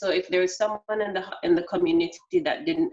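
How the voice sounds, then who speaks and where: Woman with a Jamaican accent, medium pitch, ordinary pitch variation, and a moderate pace. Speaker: customer service expert. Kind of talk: interview. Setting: video call.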